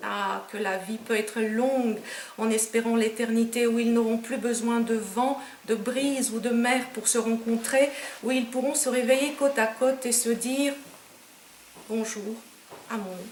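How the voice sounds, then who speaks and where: A woman with a Romanian accent speaks at a fairly slow pace in a fairly high pitch, her intonation monotone and flat. There is audible room echo and noticeable background noise. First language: Romanian (speaking French). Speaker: poet. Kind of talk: poetry reading; author talk.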